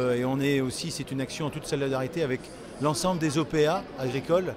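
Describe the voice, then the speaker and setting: A man is recorded with a dry, echo-free sound against noticeable background noise. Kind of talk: interview answer. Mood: aggrieved but calm. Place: hall. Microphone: phone near.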